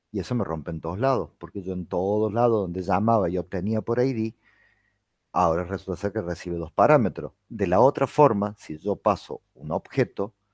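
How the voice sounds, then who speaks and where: In a Rioplatense accent, a man with a fairly low pitch speaks in a dry, close sound with no echo on a very clean recording with a silent background. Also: ordinary pitch variation. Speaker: university lecturer. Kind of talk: lecture. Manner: fast.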